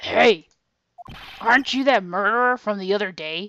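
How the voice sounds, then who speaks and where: In a put-on character voice, a female-sounding speaker talks at a moderate pace and a medium pitch for a woman. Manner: gruff, accusatory.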